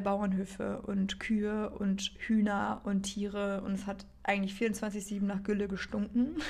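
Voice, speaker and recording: A woman at medium pitch talks at a fairly slow pace, with noticeable background noise behind her. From northern Germany, Baltic coast. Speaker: podcast host. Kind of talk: casual monologue. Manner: unscripted, chatty.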